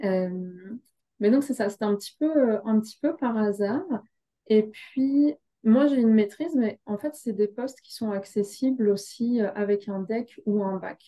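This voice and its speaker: Her voice fairly high and somewhat breathy, a woman speaks at a fairly slow pace. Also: ordinary pitch variation. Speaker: human resources director. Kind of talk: panel interview.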